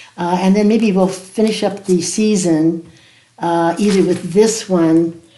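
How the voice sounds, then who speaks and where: Audible room echo surrounds a woman speaking at a medium pitch with fairly even intonation. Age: 80s+. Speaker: watercolor art teacher. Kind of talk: tutorial. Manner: casual, warm.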